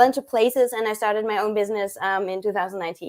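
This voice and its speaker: Talking at a very fast pace, a woman speaks with a German accent. Her pitch is fairly high, with ordinary variation. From Germany, small town. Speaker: chocolatier, business owner. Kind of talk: live stream interview. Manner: hesitant, many fillers.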